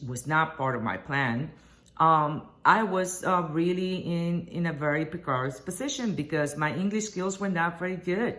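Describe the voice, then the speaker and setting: In a Spanish accent, a woman speaks at a moderate pace with a fairly low pitch and lively intonation, and the room echo is audible. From Puerto Rico. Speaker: journalist and association board candidate. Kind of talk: campaign video address. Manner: hesitant, with many fillers.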